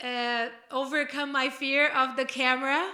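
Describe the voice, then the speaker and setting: The voice is raised and projected, with a bright, sharp tone and monotone, flat intonation. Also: woman. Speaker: podcast co-host, life coach. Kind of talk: casual chat.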